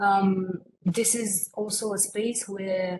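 A woman with a Romanian accent and light background noise. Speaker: international project expert; presenter. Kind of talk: webinar presentation. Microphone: video call.

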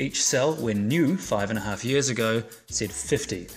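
A man talks while music plays faintly behind him. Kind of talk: tutorial. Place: garage.

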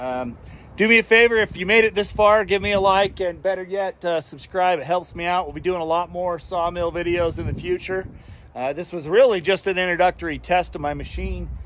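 Fairly quick delivery with ordinary pitch variation, a dry, echo-free sound and light background noise. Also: man, high pitch for a man. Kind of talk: casual vlog chat. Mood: pleased, relaxed. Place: garden. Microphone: phone near.

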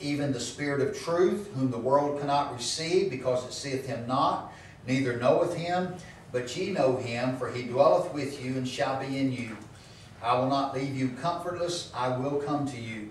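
A man is speaking. Audible room echo and light background noise are present. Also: ordinary pitch variation, moderate pace. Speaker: pastor. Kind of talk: sermon. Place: church.

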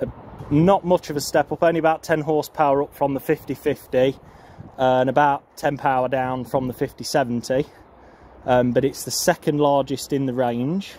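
A man at a moderate pace with fairly even intonation, a dry sound with no echo, and light background noise. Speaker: farmer showing his tractor. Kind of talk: casual vlog walkaround commentary. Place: farm machine. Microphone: phone near.

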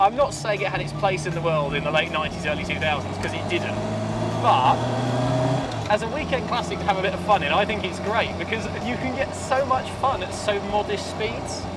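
Loud background noise behind a fairly quick-paced male speaker. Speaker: car reviewer. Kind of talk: casual road-test commentary. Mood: cheerful, enthusiastic. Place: car. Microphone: lapel.

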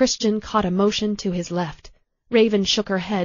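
Against a quiet background, the natural reading voice holds fairly even intonation.

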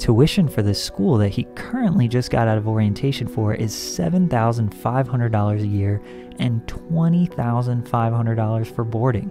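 Clear music in the background behind a man speaking at a very slow pace, dry with no echo. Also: ordinary pitch variation. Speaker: YouTube commentator. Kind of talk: commentary. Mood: skeptical, slightly sarcastic. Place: home room.

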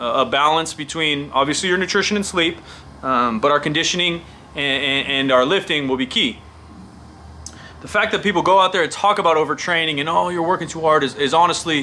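Over light background noise, a man talks at a very fast pace with ordinary pitch variation. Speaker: fitness coach vlogger. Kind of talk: casual vlog commentary. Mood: opinionated, emphatic. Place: studio.

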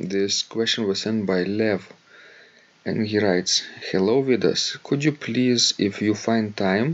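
A man talks at a slow pace in a fairly low pitch. His pitch variation is ordinary.

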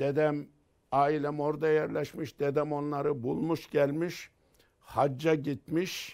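Over a quiet background, the voice moves at a very slow pace with very even loudness and a monotone, flat intonation. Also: man, fairly high pitch for a man. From Turkey, Sakarya Hendek village; Sakarya, Turkey. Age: 70s. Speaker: theology professor. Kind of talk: life story interview. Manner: halting. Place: home room. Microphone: lapel.

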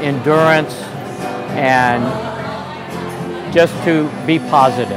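Clear music plays in the background as a man speaks very slowly. His pitch varies in an ordinary way. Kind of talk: interview answer. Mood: warm, proud, reflective. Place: cafe. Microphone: lapel.

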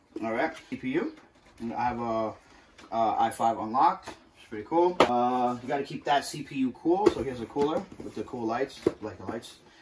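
Loud background noise runs under a man speaking with ordinary pitch variation. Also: moderate pace. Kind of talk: tutorial. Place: home room. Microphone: camera far.

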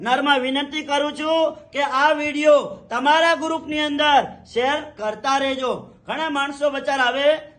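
A man at an extremely high pitch, bright and sharp in tone, with monotone, flat intonation. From Kutch, Gujarat. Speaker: traditional healer. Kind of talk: promotional talk to camera.

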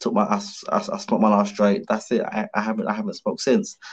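A man talks at a very fast pace with a London accent against a quiet background. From London, Hackney. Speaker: professional boxer; podcast guest. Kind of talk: casual interview. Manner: animated. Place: home room. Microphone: video call.

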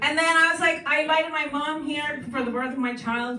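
A raised, projected voice moves at a fairly quick pace. Light background noise and audible room echo are present. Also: woman. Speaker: stand-up comedian. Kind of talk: stand-up comedy routine. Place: stage.

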